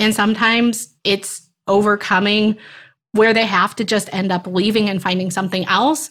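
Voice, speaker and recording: Her pace is moderate as this woman speaks. It's a plain, everyday voice. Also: medium pitch for a woman, fairly even intonation. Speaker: teacher career coach. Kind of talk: casual interview chat.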